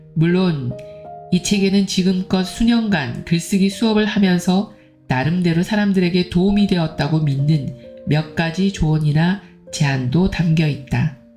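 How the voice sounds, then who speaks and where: Over music in the background, a woman speaks fairly slowly at a fairly low pitch, with ordinary pitch variation and very even loudness. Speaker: book reader. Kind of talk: book reading.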